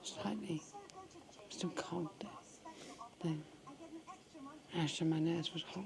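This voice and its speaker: Very slowly and with long, frequent pauses, a woman speaks in a fairly even intonation over noticeable background noise. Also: fairly low pitch for a woman. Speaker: hospital patient with tracheostomy. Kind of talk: casual chat. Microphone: extra microphone attached for her quiet voice.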